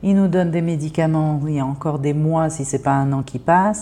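Her very deep, low pitch and dark, mellow tone carry a woman's speech at a moderate pace with ordinary pitch variation. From France. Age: 50s. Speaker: therapist. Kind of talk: interview monologue. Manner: hesitant.

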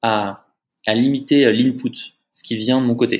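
The voice is a man's, at medium pitch. It sounds monotone and flat. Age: 30s. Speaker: startup founder and CEO. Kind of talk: casual interview.

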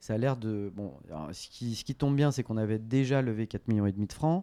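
A man talks at a fairly quick pace in a plain, everyday voice, medium in pitch with ordinary pitch variation. The recording is very clean with a silent background, and the sound is dry and close with no echo. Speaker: venture capital investor and former entrepreneur. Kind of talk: interview conversation. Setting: coworking space office.

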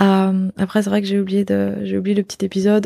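On a very clean recording with a silent background, a woman speaks at a moderate pace in a dark, mellow tone with monotone, flat intonation. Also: dry, close sound with no echo. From Belgium. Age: 20s. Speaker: yoga retreat organizer. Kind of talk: casual interview conversation.

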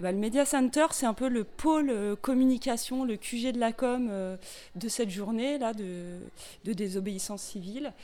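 A dark, mellow tone at a fairly slow pace with ordinary pitch variation, in a very clean recording with a silent background. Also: woman, fairly high pitch for a woman. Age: 40s. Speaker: volunteer activist, logistics. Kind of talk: interview.

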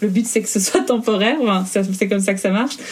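Over noticeable background noise, a woman talks at a fairly quick pace, with a medium pitch and ordinary pitch variation. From Belgium. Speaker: fashion blogger and influencer. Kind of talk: interview.

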